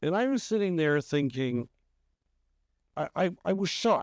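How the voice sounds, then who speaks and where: A man with a Canadian accent, a normal speaking voice, a moderate pace, and a dry, close sound with no echo against a quiet background. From Canada, Toronto. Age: 60s. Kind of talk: podcast interview.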